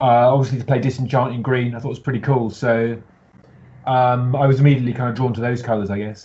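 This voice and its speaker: In a British accent, a man rushes along at a very fast pace with monotone, flat intonation, a medium pitch and a somewhat breathy voice. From UK. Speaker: deck builder competing in card game contest. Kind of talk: casual interview chat. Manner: halting, many fillers.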